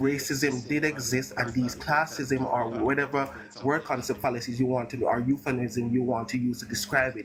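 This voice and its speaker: Fairly quick, fairly even speech from a man at medium pitch, with noticeable background noise. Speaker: debate streamer. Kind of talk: heated debate. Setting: live stream. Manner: fast.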